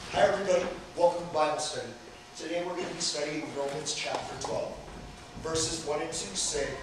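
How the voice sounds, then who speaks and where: A man at a fairly quick pace, with strong room echo and noticeable background noise. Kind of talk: scripture reading and teaching. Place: hall. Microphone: camera far.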